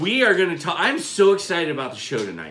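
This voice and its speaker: Noticeable background noise and audible room echo surround a man who talks at a very fast pace. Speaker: homestead channel co-host. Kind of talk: casual live-stream chat. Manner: loud, projecting.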